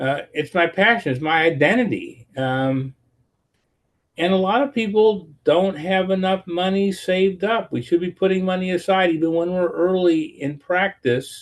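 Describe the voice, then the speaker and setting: A man speaks at a moderate pace. His voice is high. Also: ordinary pitch variation. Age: 70s. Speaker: family physician. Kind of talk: lecture. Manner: halting.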